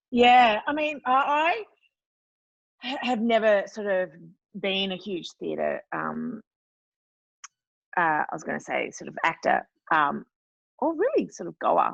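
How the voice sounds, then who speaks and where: A woman with an Australian accent speaks at a fairly slow pace with long, frequent pauses and big swings in loudness, the sound dry and close with no echo. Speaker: actress. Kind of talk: podcast interview answer.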